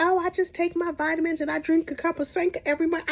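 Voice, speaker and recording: A woman's squeaky, put-on character voice at an extremely high pitch, with ordinary pitch variation and a very fast pace. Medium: solo performance.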